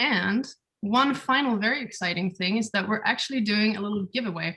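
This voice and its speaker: A woman with a Swedish accent talks at a fairly quick pace with ordinary pitch variation. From Sweden. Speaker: webinar moderator, community builder. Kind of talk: webinar introduction. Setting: video call from home.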